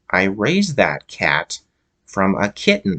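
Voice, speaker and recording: Through audible hissing, a man puts on a character voice, fairly low in pitch and fairly slow in pace. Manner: hissing, hateful.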